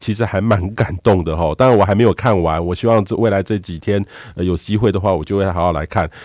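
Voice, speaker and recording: A man talks in a plain, everyday voice with ordinary pitch variation. The recording is very clean, with a silent background and a dry, close sound with no echo. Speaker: radio host, weather expert. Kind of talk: radio interview.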